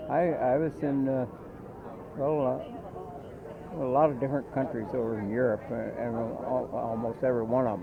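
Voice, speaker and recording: A moderate pace with long, frequent pauses, ordinary pitch variation and noticeable background noise. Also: man, medium pitch for a man. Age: 80s+. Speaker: war veteran. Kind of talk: interview answer.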